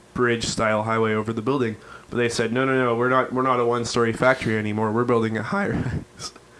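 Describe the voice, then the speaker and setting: A man's very fast, medium-pitched speech with fairly even intonation, over noticeable background noise. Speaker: podcast host. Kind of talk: casual chat.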